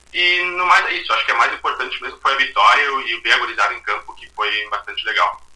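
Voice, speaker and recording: Noticeable background noise surrounds a man talking at a very fast pace. He barely pauses, and his loudness swings widely. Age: 20s. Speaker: football fan guest, administrator. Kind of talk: casual chat.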